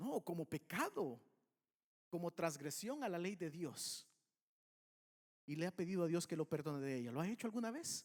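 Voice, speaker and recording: The sound is dry and close with no echo as a man talks in a high voice. He speaks at a moderate pace with long, frequent pauses. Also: lively intonation. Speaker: pastor. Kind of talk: sermon.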